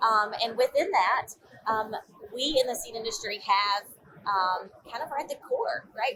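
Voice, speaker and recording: Noticeable background noise sits under a woman speaking at a moderate pace with very wide pitch swings. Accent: Georgia. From US South, northeast Georgia mountains. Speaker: agricultural association executive. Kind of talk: interview. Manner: hesitant, many fillers.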